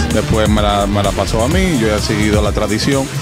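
Loud music fills the background while a man delivers his words at a moderate pace. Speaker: botanica shop owner. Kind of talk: interview answer. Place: shop. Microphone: handheld.

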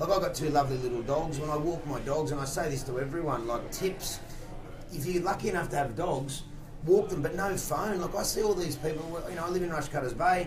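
There is noticeable background noise as a man with a fairly high pitch talks at a fairly quick pace with ordinary pitch variation. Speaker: fitness and weight-loss coach. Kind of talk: radio interview. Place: studio.

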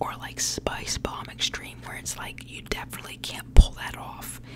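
A woman whispers at a moderate pace. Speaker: ASMR creator. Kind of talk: ASMR whisper ramble, fragrance review to camera. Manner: whispered, soft, chatty. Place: home room. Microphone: studio mic.

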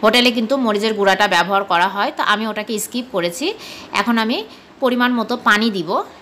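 Over noticeable background noise, a woman with a Bangladeshi accent speaks in a fairly high voice with ordinary pitch variation. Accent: Bangladeshi Bengali. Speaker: cooking vlogger. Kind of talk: cooking tutorial.

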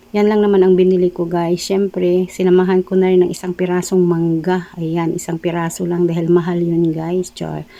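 With noticeable background noise behind her, a woman speaks at a moderate pace in a fairly low pitch, using monotone, flat intonation and hardly any pauses. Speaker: vlogger. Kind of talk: vlog narration. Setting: shopping mall. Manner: casual.

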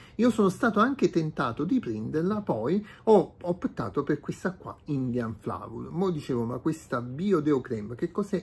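Over light background noise, a man speaks at a fairly slow pace in a fairly high, somewhat breathy voice that makes very wide pitch swings. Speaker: product reviewer. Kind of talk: unboxing video. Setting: home room, natural light. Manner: hesitant, many filler sounds. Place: home room. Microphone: phone near.

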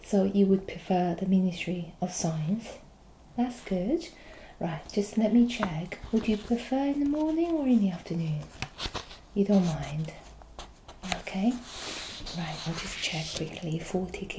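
A woman talks at a fairly slow pace with lively intonation. There are long, frequent pauses and noticeable background noise. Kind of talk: role-play customer service dialogue. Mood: friendly, helpful. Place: home room. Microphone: webcam.

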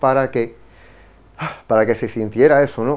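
At a moderate pace, a man speaks. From Cuba. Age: 50s. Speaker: visual artist; guest. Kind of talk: interview. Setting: studio. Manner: halting. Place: studio. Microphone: lapel.

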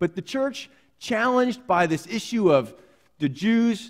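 With a quiet background behind him, the man speaks at a moderate pace. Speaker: pastor. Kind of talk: sermon. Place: church. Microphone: headset.

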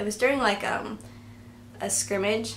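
Some light noise sits in the background. Over it, a woman talks. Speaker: vlogger. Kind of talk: casual talk to camera. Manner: mumbling, awkward. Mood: relaxed, storytelling. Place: home room. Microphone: camera far.

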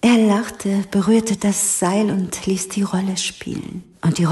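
The reading-aloud voice sounds natural. Its intonation is fairly even.

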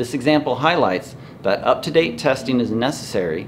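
Amid light background noise, a man talks at a moderate pace with very wide pitch swings. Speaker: organic soil company owner. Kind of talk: scripted educational explainer read from teleprompter. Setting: indoors in a store, wind noise. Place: shop.

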